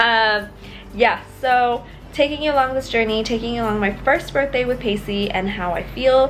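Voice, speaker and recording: Music plays in the background as a woman speaks with a fairly high pitch. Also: ordinary pitch variation, moderate pace. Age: 20s. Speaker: vlogger with a pacemaker. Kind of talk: personal vlog to camera.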